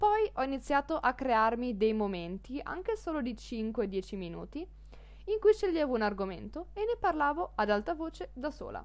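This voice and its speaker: A woman speaks at a moderate pace with hardly any pauses over noticeable background noise. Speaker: language teacher podcaster. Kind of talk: podcast monologue, language lesson.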